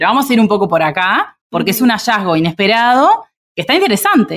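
In an ordinary speaking voice, a woman talks at a fairly quick pace and medium pitch with lively intonation, the sound dry and close with no echo. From Uruguay, Minas (Lavalleja). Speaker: immunology researcher. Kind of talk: casual interview conversation.

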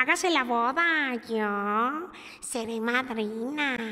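A woman's put-on character voice, high-pitched and very slow. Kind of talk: narrated children's story with character voices. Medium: read story. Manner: eager, declaiming. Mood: eager, offering.

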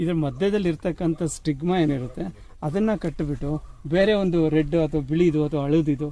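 A man speaks with a fairly high pitch and a dark, mellow tone. His intonation stays fairly even. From Davangere, Karnataka. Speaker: farmer. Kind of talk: interview.

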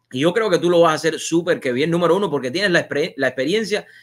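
Against a quiet background, a man with a high pitch talks at a very fast pace with lively intonation. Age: 40s. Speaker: TV and online show host; online show host. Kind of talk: live interview show. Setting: studio. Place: home room. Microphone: video call.

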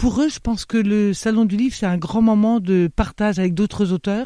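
A woman speaks at a moderate pace and medium pitch in a dark, mellow tone, recorded dry and close with no echo and a very clean, silent background. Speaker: bookseller. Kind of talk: radio interview. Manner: hesitant, many filler sounds.

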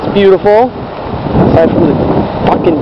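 Loud background noise sits behind a man with an American accent, whose voice sounds dry with no echo. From Maine, USA. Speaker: traveler filming a road trip. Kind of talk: casual travel vlog narration. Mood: relaxed, enthusiastic. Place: street. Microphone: phone near.

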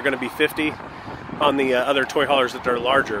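Loud background noise surrounds a man talking at a fairly quick pace. The sound itself is dry, with no echo. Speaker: RV salesman. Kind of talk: sales walkthrough commentary. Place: open country. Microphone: phone near.

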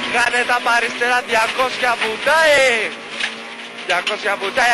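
Against noticeable background noise, a man with an extremely high pitch speaks very slowly with fairly even intonation. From Greece. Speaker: rally co-driver reading pace notes. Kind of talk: pace note calls. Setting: in a rally car on a gravel stage. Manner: tense, intense, with rhythmic delivery and brief praise. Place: car. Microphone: headset.

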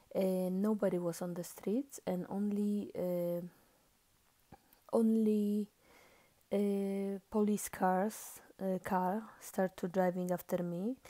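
Quiet and very slow, the voice has a dark, mellow tone, a monotone, flat intonation, and long, frequent pauses. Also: woman, medium pitch for a woman. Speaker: vlogger. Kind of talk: casual monologue vlog. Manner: halting, many fillers.

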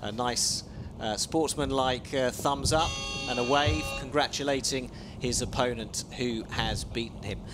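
A man talks fairly slowly with noticeable background noise behind him. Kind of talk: live sports commentary. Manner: play-by-play, lively and fluent, narrating the race as it unfolds with a few hesitations.

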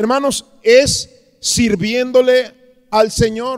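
A man speaks at an extremely high pitch. The background is quiet. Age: 50s. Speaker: pastor. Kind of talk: sermon. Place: church. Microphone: handheld.

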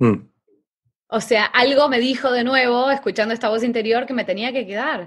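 A moderate pace with fairly even intonation. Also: woman, high pitch for a woman. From Argentina, Buenos Aires. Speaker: transformation coach. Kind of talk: interview. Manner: halting.

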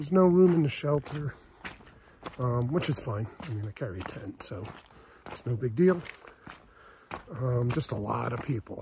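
A man's moderately paced speech sounds dry with no echo, while noticeable noise sits behind it. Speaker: long-distance hiker vlogger. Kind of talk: casual vlog chat. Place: forest. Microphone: phone near.

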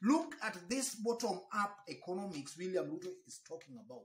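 A man's voice against a quiet background, with audible room echo. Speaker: political commentator. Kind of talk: commentary. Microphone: phone near.

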